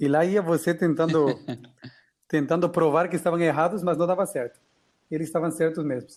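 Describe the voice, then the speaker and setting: A man with a Spanish accent speaks at a fairly quick pace in a high voice, his intonation fairly even and his speech broken by long, frequent pauses. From Mexico. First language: Spanish (speaking Portuguese). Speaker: podcast co-host. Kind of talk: casual chat.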